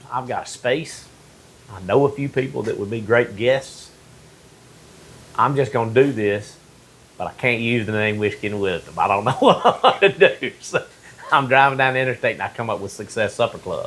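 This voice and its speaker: A man with a Mississippi accent speaks at a medium pitch and moderate pace. His pitch variation is ordinary, and he takes long, frequent pauses. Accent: Mississippi Southern US. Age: 50s. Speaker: podcast host. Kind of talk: casual interview chat.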